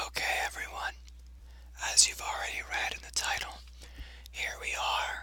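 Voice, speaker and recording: Someone is whispering with long, frequent pauses. Noticeable background noise is present. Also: moderate pace. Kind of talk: ASMR reading of a fan theory post. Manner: whispered.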